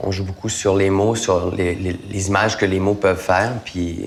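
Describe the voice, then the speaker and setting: A man's fairly low, monotone voice with flat intonation over noticeable background noise. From Acadia, northern New Brunswick (McKendrick). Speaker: actor. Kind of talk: interview. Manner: casual, hesitant with fillers.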